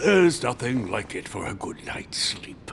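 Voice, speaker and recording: Against clear background noise, a man uses a put-on character voice that is raspy, at medium pitch and a moderate pace. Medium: video game.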